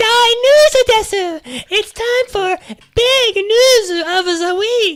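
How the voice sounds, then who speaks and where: This put-on character voice is pitched extremely high. It moves at a very slow pace. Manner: announcer-like, upbeat.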